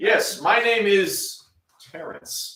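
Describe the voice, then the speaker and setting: A man uses a put-on character voice that sounds robotic and sits at an extremely high pitch. There is a slight echo. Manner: robotic, automatic.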